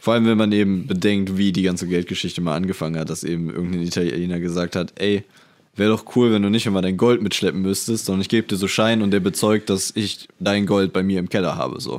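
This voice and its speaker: A man with a very deep, low pitch, fairly even intonation and a very fast pace. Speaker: computer science student. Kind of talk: casual chat.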